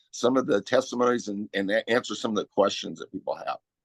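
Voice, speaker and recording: A man's voice, dry and close with no echo. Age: 60s. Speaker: supplement company representative. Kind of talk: online interview presentation. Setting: video call. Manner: halting, many repetitions.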